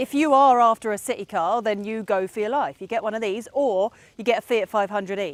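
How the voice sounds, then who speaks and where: A woman with an English accent speaks in an animated tone, the sound dry and close with no echo. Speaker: car reviewer. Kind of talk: car review while driving. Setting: in a car.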